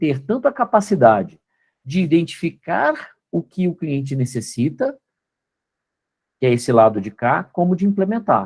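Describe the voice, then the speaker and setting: Very wide pitch swings run through this moderately paced speech, recorded very cleanly against a silent background. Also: man. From Brazil, Belo Horizonte. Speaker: company co-founder and guest lecturer. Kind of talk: lecture.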